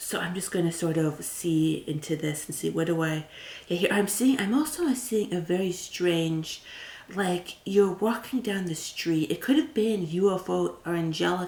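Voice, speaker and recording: A woman speaks with a fairly low pitch. There is noticeable background noise. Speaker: tarot reader. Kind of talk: pick-a-card tarot reading. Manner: soft-spoken, whispered.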